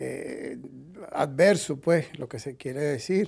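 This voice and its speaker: Pitched fairly high, a man's voice carries a dark, mellow tone. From Venezuela. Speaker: retired lawyer. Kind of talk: interview.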